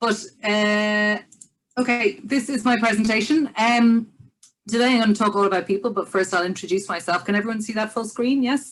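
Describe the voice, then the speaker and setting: A woman with an Irish accent speaks at a fairly quick pace, with music in the background. Her pitch is fairly high and varies in an ordinary way. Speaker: business development director and musician. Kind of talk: online presentation. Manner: fast; enthusiastic.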